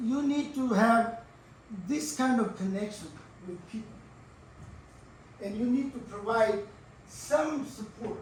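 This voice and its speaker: Over noticeable background noise and audible room echo, a man with an extremely high pitch talks at a fairly slow pace, with long, frequent pauses and ordinary pitch variation. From India. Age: 80s+. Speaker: professor. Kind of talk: lecture. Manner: halting.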